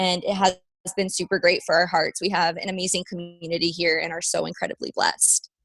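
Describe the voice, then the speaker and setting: A woman's plain, everyday voice with an American accent, medium in pitch, at a fairly quick pace, with a dry, close sound and no echo. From Las Vegas, Nevada, US. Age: 20s. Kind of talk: podcast interview.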